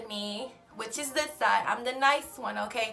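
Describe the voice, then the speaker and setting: Music plays behind a woman with an American accent who speaks in a high, raised, projected voice with an animated tone. Her pace is fairly slow, and her pitch varies in an ordinary way. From Houston, Texas. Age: 20s. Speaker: lifestyle vlogger. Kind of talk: casual Q&A vlog.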